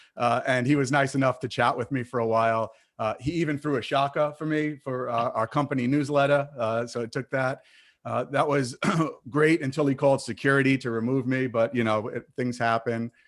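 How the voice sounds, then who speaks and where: Fairly quick and fairly even in intonation, the voice carries a slight Brooklyn accent. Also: man, medium pitch for a man. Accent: Brooklyn accent, slight, shows on some words. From Brooklyn, New York. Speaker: webinar moderator. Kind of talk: online panel introduction. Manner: halting, many fillers.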